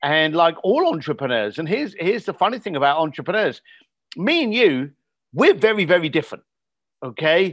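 A man with a southern English accent, high-pitched and fairly quick, with lively intonation over a quiet background. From England, outside London. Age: 50s. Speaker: entrepreneur and coach. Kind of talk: interview.

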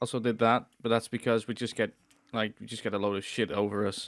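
A man with a Dutch accent, fairly low in pitch, with monotone, flat intonation at a very fast pace. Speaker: podcast co-host. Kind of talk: casual chat.

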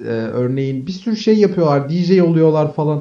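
A man talks at a moderate pace in a dark, mellow tone. His intonation is lively. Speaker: podcast co-host, business student. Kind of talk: casual chat.

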